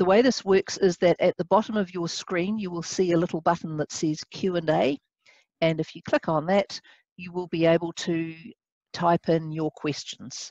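In an ordinary speaking voice, a woman talks at a moderate pace with fairly even intonation and a fairly low pitch, her dry sound carrying no echo over a quiet background. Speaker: webinar host. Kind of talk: moderator introduction. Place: office. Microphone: headset.

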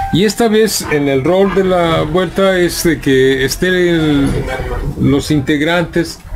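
Noticeable background noise runs behind a man speaking at a very slow pace, his fairly high voice showing ordinary pitch variation. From Guadalajara, Mexico. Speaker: podcast host. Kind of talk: casual chat interview. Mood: relaxed, friendly. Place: shop. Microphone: studio mic.

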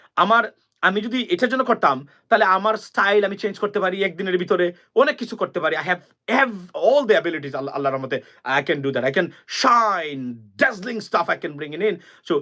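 A man speaks in a raised, projected voice, high-pitched with a bright, sharp tone. His intonation is lively and his tone animated. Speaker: political commentator. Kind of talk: political monologue.

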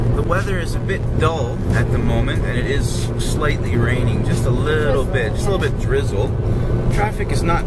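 With music playing behind him, a man talks fairly quickly. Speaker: vlogger. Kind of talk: casual vlog chat. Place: car. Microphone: phone near.

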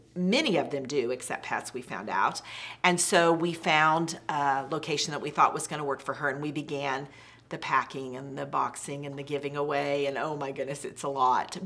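A woman's very deep, low voice at a moderate pace. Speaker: interviewee. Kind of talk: interview answer. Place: home room.

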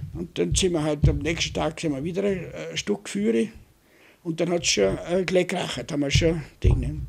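Fairly high-pitched male voice with vocal fry and very wide pitch swings, moderate pace, quiet background. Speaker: war veteran. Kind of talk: oral history interview. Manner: halting. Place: home room. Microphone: studio mic.

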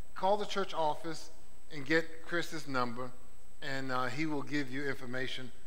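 With ordinary pitch variation, a man's speech proceeds at a moderate pace. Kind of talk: church announcements to the congregation. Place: church. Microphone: headset.

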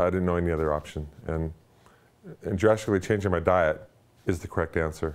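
A man's very deep, low voice at a moderate pace with fairly even intonation. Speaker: weight loss client giving a testimonial. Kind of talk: testimony. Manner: halting, with repeated words. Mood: upbeat, enthusiastic. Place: home room. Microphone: lapel.

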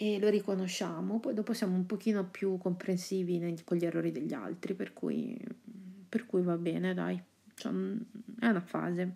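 A soft-spoken woman with a medium pitch, a dark, mellow tone and vocal fry speaks at a moderate pace with ordinary pitch variation. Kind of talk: ASMR horoscope reading.

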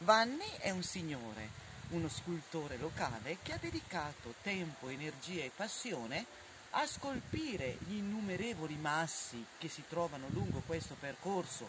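Noticeable background noise sits behind a woman's voice. She speaks in a fairly low pitch at a fairly slow pace. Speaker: hiking vlogger guide. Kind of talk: casual travel vlog commentary. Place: open country.

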